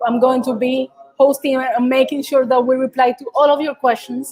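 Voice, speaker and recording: Recorded dry and close with no echo, a woman speaks at a fairly quick pace in a high pitch. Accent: Colombian. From Colombia. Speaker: startup community co-founder and event host. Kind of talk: live interview. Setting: live online video event.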